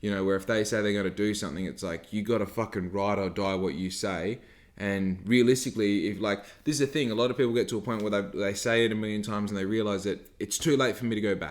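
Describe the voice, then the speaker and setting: This man talks at a very fast pace with a fairly low pitch and an Australian accent. His pitch varies in an ordinary way. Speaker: podcast host, small business owner. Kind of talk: casual podcast talk.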